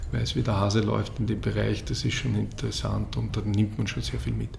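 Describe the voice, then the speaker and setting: There is noticeable background noise along with audible room echo. Through it, a man's voice is heard. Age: 40s. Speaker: football league executive. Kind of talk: interview.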